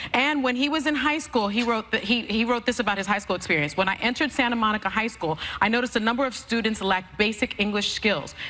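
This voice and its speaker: Against noticeable background noise, a woman with a Spanish accent and a fairly high pitch talks at a very fast pace with hardly any pauses, very even loudness and ordinary pitch variation. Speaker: talk show co-host. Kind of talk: panel discussion.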